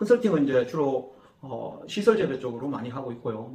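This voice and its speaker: A somewhat breathy man's voice, fairly high in pitch, with lively intonation, a moderate pace and audible room echo. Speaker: agricultural consultant. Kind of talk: interview. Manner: hesitant fillers.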